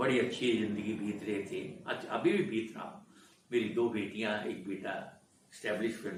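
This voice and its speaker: Speaking with fairly even intonation, a man with a fairly low voice is heard over audible room echo. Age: 80s+. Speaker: film industry veteran. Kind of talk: interview, life story.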